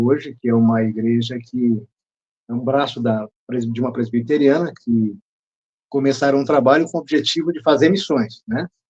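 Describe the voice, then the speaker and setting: Ordinary pitch movement marks a man's voice that sits at a medium pitch. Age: 60s. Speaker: speaker on drug addiction, behavioral therapist. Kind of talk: interview. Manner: halting.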